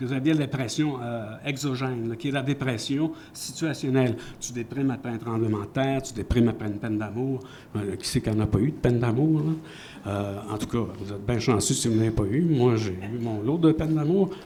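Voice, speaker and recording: A man talks at a fairly quick pace in a medium pitch with ordinary pitch variation. The room echo is audible. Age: 70s. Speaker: author. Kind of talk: panel discussion. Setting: stage with audience.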